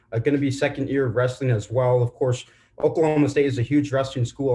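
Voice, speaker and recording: Somewhat breathy, a man speaks at a fairly high pitch with fairly even intonation. The background is quiet. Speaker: journalism student. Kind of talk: Q&A question. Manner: halting.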